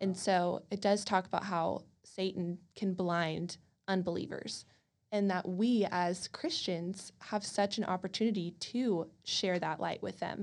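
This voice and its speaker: In a very clean recording with a silent background, a woman with an American accent uses an ordinary speaking voice, medium pitch and fairly even intonation at a fairly slow pace. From College Station, Texas. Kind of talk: casual faith discussion.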